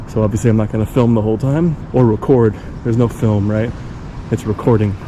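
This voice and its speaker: Mumbling at a fairly quick pace, a man speaks at a medium pitch with ordinary pitch variation over noticeable background noise. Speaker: travel vlogger. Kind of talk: casual vlog narration. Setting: outdoors.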